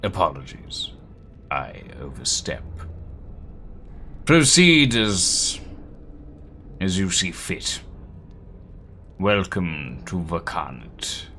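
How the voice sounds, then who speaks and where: A man talks very slowly in a put-on character voice, leaving long, frequent pauses. Background noise is clearly audible. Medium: game stream. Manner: formal, halting, heavy.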